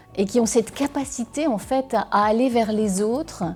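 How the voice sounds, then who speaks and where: A woman talks at a moderate speed. Behind her, music is playing. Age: 60s. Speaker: war reporter. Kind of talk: interview answer.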